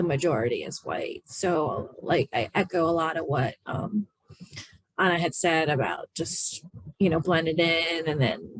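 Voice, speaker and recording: With an American accent, a woman speaks in an unremarkable speaking voice at a fairly low pitch and a fairly slow pace. The sound is dry and close with no echo, and her pitch varies in an ordinary way. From rural Maryland, US. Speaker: architect panelist. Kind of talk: webinar panel discussion.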